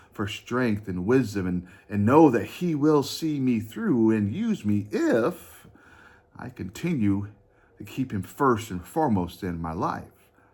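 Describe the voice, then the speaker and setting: Intonation is lively at a moderate pace. Audible room echo surrounds the voice. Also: man. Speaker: pastor. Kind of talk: sermon. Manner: halting.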